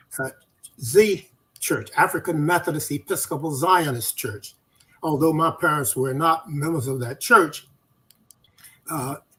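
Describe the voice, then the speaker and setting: A man with an American accent, fairly high-pitched with a bright, sharp tone, at a fairly slow pace with long, frequent pauses. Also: ordinary pitch variation. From US South, North Carolina. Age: 90s. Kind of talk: interview. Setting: live video stream.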